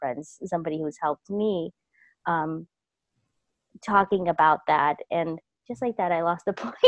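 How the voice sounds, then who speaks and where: Using a plain, everyday voice, a woman with an American accent talks at a moderate pace. Her pitch is fairly low and her intonation fairly even. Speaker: intuitive life coach. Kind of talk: personal story told in an interview.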